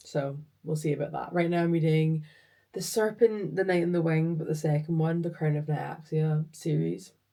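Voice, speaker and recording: A woman's very deep, low pitch, dark, mellow tone, and fairly even intonation. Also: moderate pace. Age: 20s. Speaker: vlogger and project engineer. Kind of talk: casual vlog chat. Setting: home office. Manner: chatty.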